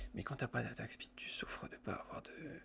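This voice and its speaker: A man whispers at a moderate pace. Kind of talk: ASMR gameplay commentary while playing a video game. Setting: recorded while gaming at a computer with a headset. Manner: soft-spoken.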